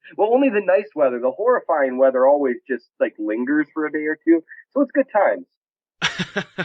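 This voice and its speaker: A fairly high-pitched man with an American accent, very wide pitch swings and a moderate pace. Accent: Minnesota, sometimes strong. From Minnesota. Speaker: sports blog editor. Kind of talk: podcast interview. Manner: casual, hesitant with fillers.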